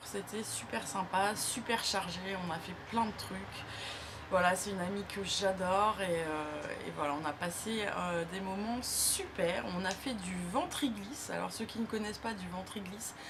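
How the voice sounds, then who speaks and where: A woman talks fairly slowly in a space with audible room echo and noticeable background noise. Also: medium pitch for a woman, ordinary pitch variation. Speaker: beauty youtuber. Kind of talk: casual vlog. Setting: talking to camera. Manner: hesitant, many fillers.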